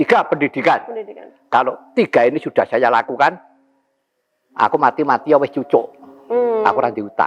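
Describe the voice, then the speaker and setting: With very wide pitch swings, a man with a fairly high pitch talks at a fairly quick pace in a dry, close sound with no echo. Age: 70s. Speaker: puppet master (dalang). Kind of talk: interview answer. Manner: energetic, spirited.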